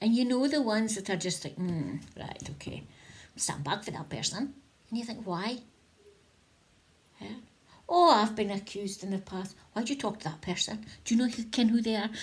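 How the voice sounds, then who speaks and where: A woman with a northeast Scottish accent talks at a moderate pace in a fairly high, somewhat breathy voice. Her intonation is lively, and she takes long, frequent pauses. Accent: north-east Scottish (Doric). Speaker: spiritual vlogger. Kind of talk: casual inspirational talk to camera. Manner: chatty, conversational.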